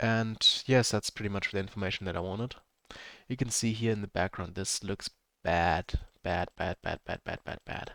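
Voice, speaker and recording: A man talks at a moderate pace with a fairly low pitch and ordinary pitch variation. The recording is very clean with a silent background, the sound dry and close with no echo. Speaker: game developer. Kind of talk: tutorial. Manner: halting.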